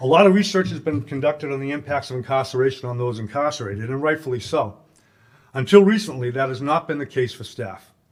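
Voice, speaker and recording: A man with a Boston accent talks very fast, with lively intonation and big swings in loudness. The recording is very clean, with a silent background. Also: medium pitch for a man. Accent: Boston-area Massachusetts, non-rhotic. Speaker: corrections advocate, former correctional officer. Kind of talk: conference talk. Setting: stage with audience.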